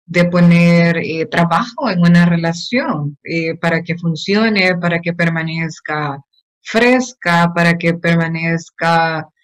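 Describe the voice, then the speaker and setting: A woman with a fairly low voice speaks at a very slow pace against a quiet background. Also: ordinary pitch variation. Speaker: host, consultant; host interviewer. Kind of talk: interviewer talk. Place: home room. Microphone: video call.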